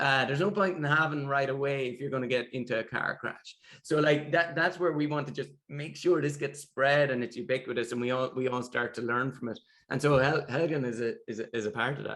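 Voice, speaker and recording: With a Limerick accent, the speaker talks at a fairly quick pace with ordinary pitch variation. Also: man, fairly high pitch for a man. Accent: Irish (Limerick). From Ireland, Limerick. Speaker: tech founder. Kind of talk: interview.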